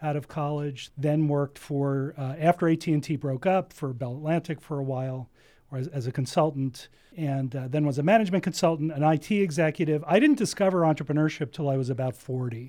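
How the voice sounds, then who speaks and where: A man with an American accent speaks at a fairly quick pace in a fairly high pitch, his tone dark and mellow, his pitch variation ordinary, on a very clean recording with a silent background. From US Northeast (New Jersey). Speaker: entrepreneurship center director. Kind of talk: interview.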